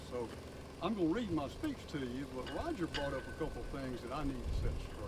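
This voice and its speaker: A man is speaking in a room with audible echo. Background noise is noticeable. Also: fairly quick pace. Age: 70s. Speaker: retired public works director. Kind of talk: memorial speech.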